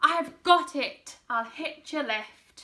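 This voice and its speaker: A woman's high-pitched, put-on character voice. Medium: read story.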